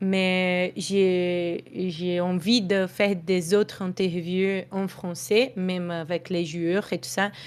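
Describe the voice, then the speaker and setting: A woman speaks very slowly with a Brazilian accent, a medium pitch and fairly even intonation. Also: very clean recording, silent background. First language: Portuguese (speaking French). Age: 20s. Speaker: esports journalist. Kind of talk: interview. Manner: halting.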